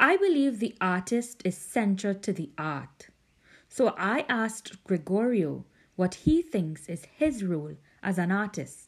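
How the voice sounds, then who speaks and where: The woman's pitch ranges very widely. Her voice is somewhat breathy. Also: medium pitch for a woman, fairly slow pace. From Trinidad, Indo-Trinidadian family. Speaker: podcast host. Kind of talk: scripted narration.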